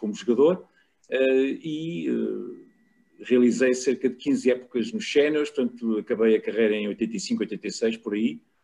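Talking at a fairly slow pace, a man with a fairly high pitch and a dark, mellow tone moves through very wide pitch swings. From Portugal, Lisbon. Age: 60s. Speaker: rugby journalist and former player. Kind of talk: casual chat.

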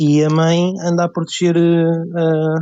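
A man speaks in a dark, mellow tone. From Portugal, Lisbon. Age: 20s. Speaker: photographer. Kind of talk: casual chat.

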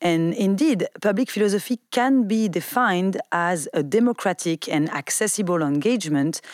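A woman with an unremarkable speaking voice talks at a moderate pace and medium pitch with lively intonation, in a dry, close recording with no echo that is very clean, with a silent background. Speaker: podcast host, philosophy. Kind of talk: podcast discussion and interview.

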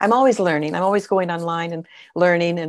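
A woman with an American accent speaks in an ordinary speaking voice at a fairly quick pace, her fairly low pitch and fairly even intonation captured in a very clean recording with a silent background. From Southern California, LA County. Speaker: abstract painter, retired teacher. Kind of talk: casual interview.

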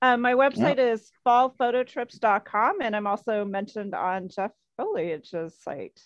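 With an American accent, a woman uses a plain, everyday voice, fairly high in pitch, with lively intonation and a dry, close sound with no echo. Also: moderate pace. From US Midwest. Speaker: photographer and photo travel guide. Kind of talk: casual interview chat.

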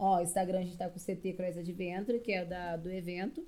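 Her tone dark and mellow, a woman speaks at medium pitch and a fairly quick pace. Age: 20s. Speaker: CrossFit coach. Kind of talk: casual chat.

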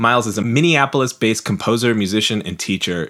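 Speaking fairly quickly, a man uses ordinary pitch variation. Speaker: podcast host and writer. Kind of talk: interview conversation.

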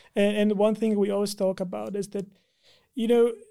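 The tone is dark and mellow, with monotone, flat intonation. The recording is very clean, with a silent background. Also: man. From Brazil. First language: Portuguese. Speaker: engineering manager. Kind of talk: podcast interview.

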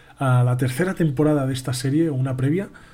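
A man talks at a fairly quick pace with a somewhat breathy voice. His tone is dark and mellow. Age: 20s. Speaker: podcast host on spirituality. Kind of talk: live-stream monologue. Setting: live stream.

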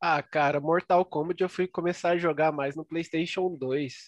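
A man's fairly high, unremarkable speaking voice, with fairly even intonation at a moderate pace, in dry, close sound with no echo and a quiet background. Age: 20s. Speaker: podcast co-host. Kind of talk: casual chat.

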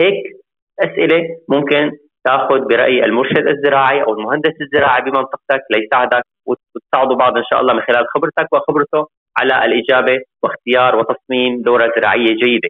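This man talks at a fairly quick pace in a normal speaking voice, with medium pitch, fairly even intonation and very even loudness. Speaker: agricultural engineer. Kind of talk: interview.

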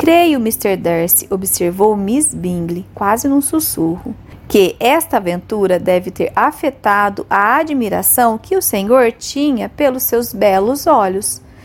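A woman speaks at a very slow pace with hardly any pauses. Her pitch sits fairly high. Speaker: audiobook narrator. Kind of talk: literary audiobook reading, scripted narration with character dialogue. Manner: steady, measured, formal storytelling pace.

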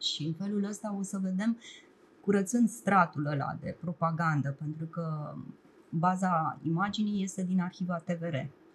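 A woman speaks at a fairly slow pace in a somewhat breathy voice. Her pitch is fairly low, and her intonation stays fairly even. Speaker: television producer and documentary director. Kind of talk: casual chat. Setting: studio.

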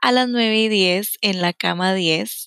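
In a Costa Rican accent, a woman with a medium-pitched voice is heard in a dry, close sound with no echo on a very clean recording with a silent background. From Costa Rica, San José. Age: 30s. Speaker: podcast host, self-knowledge coach. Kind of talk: personal storytelling monologue.

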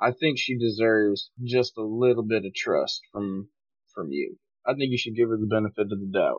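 Using a plain, everyday voice, a man speaks at a medium pitch and a moderate pace with ordinary pitch variation. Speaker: tabletop player. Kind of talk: tabletop roleplaying game session.

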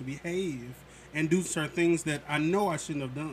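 With an American accent, a man talks at a fairly quick pace in a somewhat breathy voice. His pitch is fairly high, with ordinary pitch variation. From St. Louis, Missouri. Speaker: clinical psychologist. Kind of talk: casual chat.

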